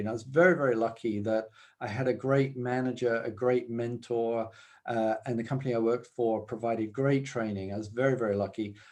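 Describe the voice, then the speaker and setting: A man with a British accent talks at a fairly quick pace in a medium pitch. His pitch varies in an ordinary way, and the background is quiet. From UK. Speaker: business executive. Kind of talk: interview. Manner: hesitant, many fillers.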